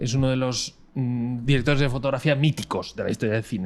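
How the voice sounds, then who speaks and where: A man speaks with a Madrid accent at a fairly quick pace. The recording is very clean, with a silent background. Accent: Castilian Spanish (Madrid). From Spain, Madrid. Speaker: cinematographer. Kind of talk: interview conversation. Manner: halting, many fillers.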